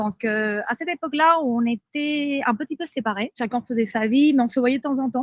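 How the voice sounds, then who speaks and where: Speaking at a moderate pace with ordinary pitch variation, a woman with a Spanish accent is heard in a dry, close sound with no echo. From southern Spain. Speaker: friend of a person with bipolar disorder. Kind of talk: podcast interview, personal testimony. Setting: outdoors by the sea in Thailand.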